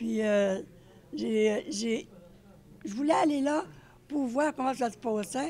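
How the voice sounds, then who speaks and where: Her pitch runs fairly high, with lively intonation. The woman speaks at a very slow pace. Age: 80s+. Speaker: painter. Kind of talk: interview answer.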